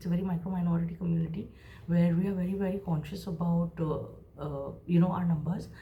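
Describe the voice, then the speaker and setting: A woman's fairly low, dark and mellow voice, somewhat breathy, in a monotone, flat delivery at a very fast pace, with audible room echo. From India, Mumbai. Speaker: creative professional and vlogger. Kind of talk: casual storytelling.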